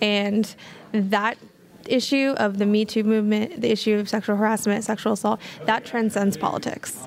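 A woman with an unremarkable speaking voice, fairly high pitch, fairly even intonation, very even loudness and a moderate pace. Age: young. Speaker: college student activist. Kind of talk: interview.

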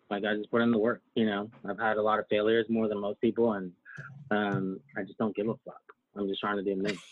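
Speaking at a very fast pace, a man keeps a monotone, flat intonation at a fairly low pitch. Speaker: digital marketing entrepreneur. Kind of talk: casual chat.

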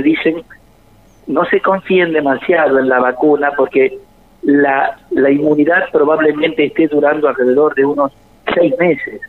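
Over noticeable background noise, a man speaks fairly slowly at a fairly high pitch. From Argentina, interior of Córdoba province. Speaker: biochemist researcher. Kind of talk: radio interview. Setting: phone call.

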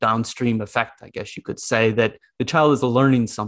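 Over a quiet background, a man with an American accent talks in a plain, everyday voice at a medium pitch with fairly even intonation. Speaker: podcast host, school psychology lecturer. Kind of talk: casual chat.

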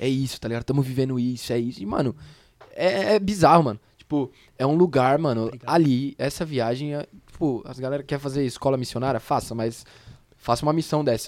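At a fairly quick pace with ordinary pitch variation, a plain, everyday voice speaks. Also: man, medium pitch for a man. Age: young. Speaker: young church member back from mission trip. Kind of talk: casual podcast chat.

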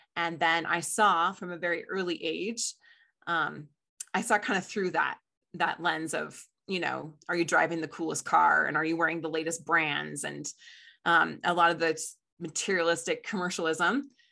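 Against a quiet background, a woman with an American accent speaks in a fairly low, bright and sharp voice with vocal fry and fairly even intonation. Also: moderate pace. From US, Colorado and Midwest. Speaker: marriage coach. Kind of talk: interview conversation.

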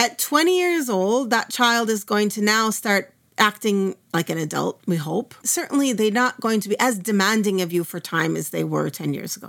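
A woman with an American accent has a plain, everyday voice at a fairly high pitch. She talks at a moderate pace with lively intonation. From US Midwest, Minnesota. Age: 50s. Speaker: Islamic studies teacher. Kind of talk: interview conversation.

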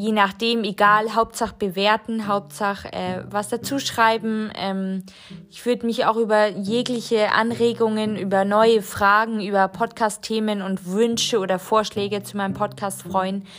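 Monotone, flat intonation at a fairly slow pace from a woman pitched in the medium range. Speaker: podcaster. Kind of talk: solo podcast monologue. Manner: hesitant, many filler sounds.

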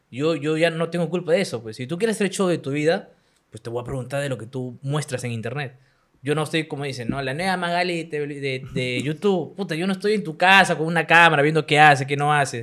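With a bright, sharp tone, a man talks very fast in a fairly high voice with ordinary pitch variation. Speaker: web show host and interviewer. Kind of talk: casual chat. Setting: home studio. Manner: animated.

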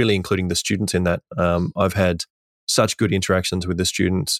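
A man talks in an Australian accent. The recording is very clean and dry, with a close sound, no echo and a silent background. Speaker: teacher. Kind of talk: casual chat.

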